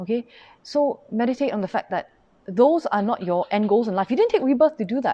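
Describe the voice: A woman speaks fairly quickly at a fairly high pitch, her tone dark and mellow and her intonation lively.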